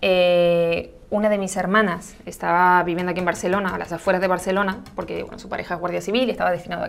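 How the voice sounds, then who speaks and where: At a very fast pace with hardly any pauses, a woman speaks at medium pitch. Her intonation is monotone and flat, though her loudness swings widely. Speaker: makeup artist and content creator. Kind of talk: casual interview chat.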